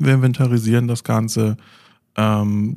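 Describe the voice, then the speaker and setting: This man has a dark, mellow tone at a medium pitch. He keeps a moderate pace with ordinary pitch variation. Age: 30s. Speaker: IT desktop support technician. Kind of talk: casual interview. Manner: hesitant with many fillers.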